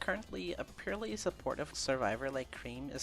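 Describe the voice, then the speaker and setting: Music sounds behind the voice. The speech moves at a fairly quick pace. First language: not English. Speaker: video essay narrator, gamer. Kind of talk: scripted video essay narration. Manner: some stumbles and stutters.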